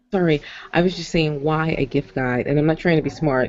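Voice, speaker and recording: The voice is quiet and moves at a moderate pace. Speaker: blogger asking questions on a group call. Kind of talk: casual group discussion. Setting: video call from workplace. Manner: quiet, hard to hear.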